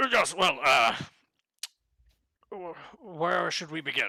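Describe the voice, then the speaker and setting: The speaker puts on a character voice at a middle pitch and a fairly slow pace. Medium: actual play. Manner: hesitant, fumbling formal speech.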